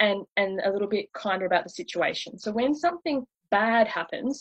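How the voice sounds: A woman speaks at a fairly quick pace and medium pitch, with a slightly husky edge. The sound is dry and close, with no echo.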